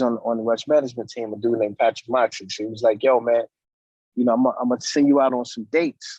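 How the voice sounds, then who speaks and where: Recorded with a dry, close sound and no echo, a man with a New York accent speaks at a medium pitch. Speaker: DJ and music producer. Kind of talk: interview. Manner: casual, halting with fillers.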